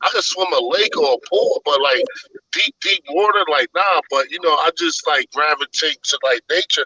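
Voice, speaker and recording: A man with a New York accent, in a dry, close recording without echo. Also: moderate pace. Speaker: religious discussion panelist. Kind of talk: casual group discussion. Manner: animated.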